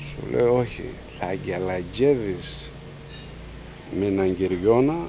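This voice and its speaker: A man with a Cappadocian accent speaks at a very slow pace. There is light background noise. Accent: Cappadocian Greek dialect (Misti variety). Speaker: farmer. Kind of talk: narrative interview answer. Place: garden.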